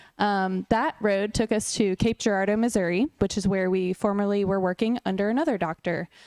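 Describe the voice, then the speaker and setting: In a dry, close recording with no echo and a quiet background, a woman with an unremarkable speaking voice talks at a medium pitch and a fairly quick pace, with ordinary pitch variation, very even loudness and hardly any pauses. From US South (Raleigh, North Carolina). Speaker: chiropractor. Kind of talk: talk at a luncheon.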